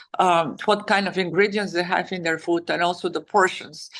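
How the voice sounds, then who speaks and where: A woman with a Bulgarian accent at medium pitch, moderate pace, and fairly even intonation. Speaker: author and wellness advocate. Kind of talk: interview answer. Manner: hesitant, many fillers.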